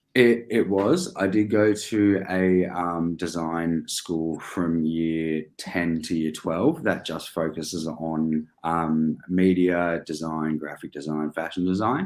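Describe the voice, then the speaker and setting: Someone with an Australian accent speaks at a very slow pace with hardly any pauses and fairly even intonation. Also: man, very deep, low pitch for a man. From Australia, Melbourne. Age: 20s. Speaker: business owner. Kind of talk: interview. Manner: hesitant, many fillers.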